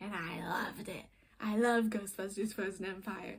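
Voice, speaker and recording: A woman's animated, somewhat breathy voice at a moderate pace. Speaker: film reviewer. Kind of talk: casual video review monologue. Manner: halting, self-correcting.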